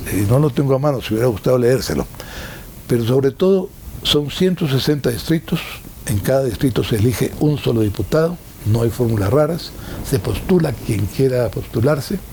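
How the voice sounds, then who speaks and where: A man's medium-pitched voice at a moderate pace, very even in loudness, with lively intonation and noticeable background noise. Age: 70s. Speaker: former ambassador and political commentator. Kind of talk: interview. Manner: hesitant, frequent fillers and repetitions.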